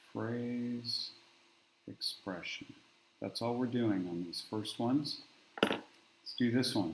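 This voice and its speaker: A soft-spoken man at a very slow pace, medium in pitch with ordinary pitch variation, amid audible room echo. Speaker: math teacher. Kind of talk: tutorial. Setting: garage classroom.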